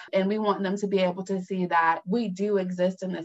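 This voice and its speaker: A woman speaks at a medium pitch with fairly even intonation. She has a plain, everyday voice. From North Carolina (Fayetteville). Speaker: attorney. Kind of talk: radio interview.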